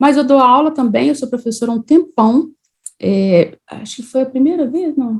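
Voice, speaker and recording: A woman speaks at a high pitch with lively intonation. Her loudness swings widely from moment to moment. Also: moderate pace. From Minas Gerais, Brazil (Juiz de Fora). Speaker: civil engineer and teacher. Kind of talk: online lecture. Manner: casual, conversational.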